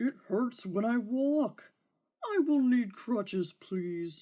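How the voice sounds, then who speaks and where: The speaker uses a put-on character voice and talks at a very slow pace. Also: female-sounding voice, high pitch for a woman. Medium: read story. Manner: whiny, demanding.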